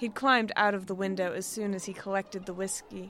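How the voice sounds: Fairly even intonation from a natural reading voice.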